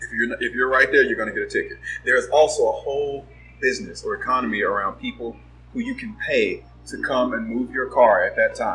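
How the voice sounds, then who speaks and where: A man talks with an American accent at a fairly quick pace. Music plays in the background. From Los Angeles, US West Coast. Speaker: advertising and marketing professional. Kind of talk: casual chat.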